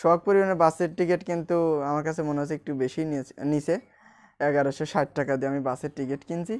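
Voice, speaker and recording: A man's fairly high voice shows ordinary pitch variation. Behind him the background is quiet. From Bangladesh, Rajbari district; Bangladesh. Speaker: vlogger. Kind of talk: casual vlog monologue. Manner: halting. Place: home room. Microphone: recording with a new external microphone; lapel.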